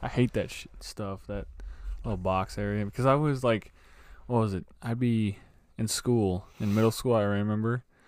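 At a moderate pace, a man with a fairly low pitch and a plain, everyday voice speaks in fairly even intonation on a very clean recording with a silent background. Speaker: podcast co-host. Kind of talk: casual chat. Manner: casual, says bro a lot.

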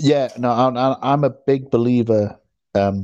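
A British accent with ordinary pitch variation against a quiet background. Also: man. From UK. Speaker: podcast host. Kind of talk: casual chat. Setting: remote call. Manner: halting.

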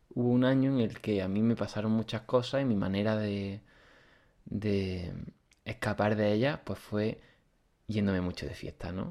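In a fairly low, dark, mellow voice, a man speaks with fairly even intonation and long, frequent pauses over a quiet background. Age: 20s. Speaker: podcast host, student of a spiritual course. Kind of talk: interview conversation. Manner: halting, with many repetitions.

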